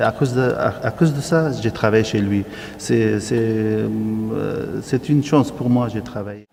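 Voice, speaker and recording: Noticeable background noise sits behind a speaker with an Arabic accent. The pace is fairly slow, and the pitch varies in an ordinary way. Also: man, fairly low pitch for a man. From Syria. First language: Arabic (speaking French). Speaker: refugee interviewee. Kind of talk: interview testimony. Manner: halting.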